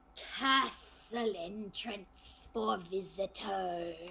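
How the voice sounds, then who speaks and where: A put-on character voice, female-sounding and raspy, at a medium pitch for a woman and a very slow pace, with clear background noise. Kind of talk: choppy, clipped speech. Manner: choppy, curt.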